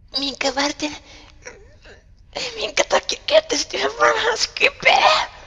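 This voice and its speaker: A man's put-on character voice, extremely high in pitch, with long, frequent pauses. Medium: game stream. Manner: haughty, oddly formal, broken grammar.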